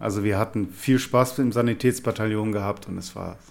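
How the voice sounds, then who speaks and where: At a fairly quick pace, a man speaks with vocal fry and fairly low pitch. His intonation stays fairly even. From Rhineland-Palatinate, Linz am Rhein. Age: 40s. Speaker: cardiologist, senior doctor. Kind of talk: interview. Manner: halting.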